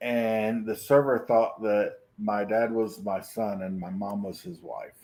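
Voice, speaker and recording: At a fairly slow pace, a man speaks at a medium pitch with ordinary pitch variation and big swings in loudness. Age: 50s. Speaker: streamer. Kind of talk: casual chat.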